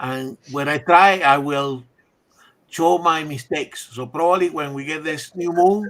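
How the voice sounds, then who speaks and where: A man's fairly high-pitched voice at a fairly slow pace, with big swings in loudness and ordinary pitch variation. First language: not English. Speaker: livestream co-host. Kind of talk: casual group chat on livestream. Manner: halting, repetitive.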